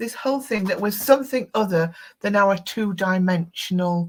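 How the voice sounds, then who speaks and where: With a northern English accent, a woman speaks in a somewhat breathy voice. Her intonation is lively. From northern England. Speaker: tarot expert and psychic studies teacher. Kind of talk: interview. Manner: halting.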